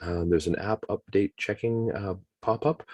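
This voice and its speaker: With a Canadian accent, a man talks at a fairly low pitch, the sound dry and close with no echo. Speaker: webinar presenter, teacher trainer. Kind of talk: tutorial. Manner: fast. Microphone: choppy audio, poor internet connection.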